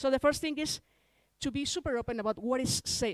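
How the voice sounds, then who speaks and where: Dry and close with no echo, a woman's voice carries a Spanish accent, lively intonation and a fairly quick pace. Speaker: larp designer and conference speaker. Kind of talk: conference talk. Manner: halting, with restarts.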